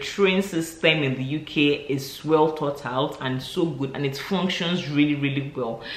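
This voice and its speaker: Amid noticeable background noise and audible room echo, a man speaks at a fairly slow pace in an animated tone, with fairly high pitch and ordinary pitch variation. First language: non-English mother tongue. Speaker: vlogger. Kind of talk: casual vlog monologue.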